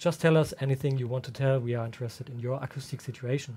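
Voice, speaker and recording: Somewhat breathy and dark, mellow in tone, a man with a German accent speaks at a very fast pace with fairly even intonation in a very clean recording with a silent background. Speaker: room acoustics consultant. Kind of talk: livestream workshop. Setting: livestream. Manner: halting, with many fillers.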